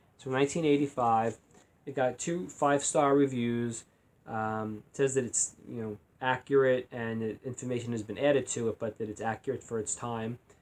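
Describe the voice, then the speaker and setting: The intonation stays fairly even as the words come at a moderate pace. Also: man, medium pitch for a man, big swings in loudness. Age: 50s. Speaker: retiree video blogger. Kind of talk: casual vlog monologue. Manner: hesitant, many fillers and repeats.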